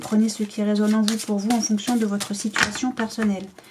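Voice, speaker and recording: A woman speaks at a moderate pace with medium pitch and monotone, flat intonation. Noticeable background noise sits behind her. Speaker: tarot card reader. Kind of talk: tarot reading to camera.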